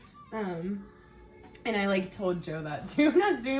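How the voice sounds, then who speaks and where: Lively intonation at a fairly quick pace over noticeable background noise. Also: woman. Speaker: tarot reader. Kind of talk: tarot reading for a friend. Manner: fast, filler-heavy; shaky voice.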